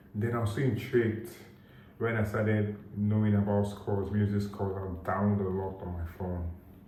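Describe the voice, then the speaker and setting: Against noticeable background noise and audible room echo, a man speaks in a monotone, flat intonation at a moderate pace and a fairly low pitch. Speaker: vlogger. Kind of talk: casual vlog monologue. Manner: hesitant, filler-heavy.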